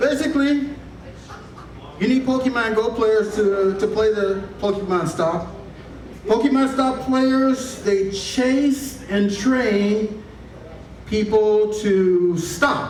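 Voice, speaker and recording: A high-pitched man at a very slow pace, with long, frequent pauses, ordinary pitch variation, very even loudness and noticeable background noise. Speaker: stand-up comedian. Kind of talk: stand-up comedy set.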